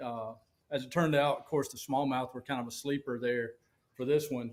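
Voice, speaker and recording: Talking at a fairly quick pace, a man with a Southern US accent uses a fairly high pitch. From Alabama, US South. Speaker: professional bass angler. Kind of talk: casual interview chat. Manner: animated.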